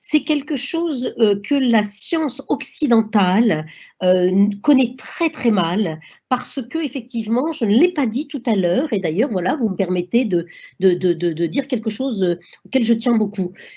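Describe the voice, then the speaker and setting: The voice is somewhat breathy and fairly slow. Its pitch swings very widely. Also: woman, fairly high pitch for a woman. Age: 60s. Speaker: doctor. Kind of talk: lecture. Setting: online seminar. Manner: halting.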